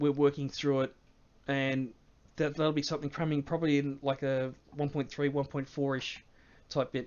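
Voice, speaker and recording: A man's fairly high voice in an Australian accent, monotone and flat, at a moderate pace with long, frequent pauses. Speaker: game mod developer and streamer. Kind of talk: live stream Q&A. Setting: live stream from home. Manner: hesitant, many fillers.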